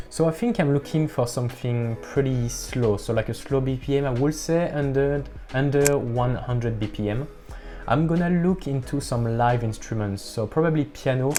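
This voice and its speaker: Music plays in the background as a man talks at a moderate pace, medium in pitch with ordinary pitch variation. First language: not English. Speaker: music producer youtuber. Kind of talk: tutorial. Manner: halting.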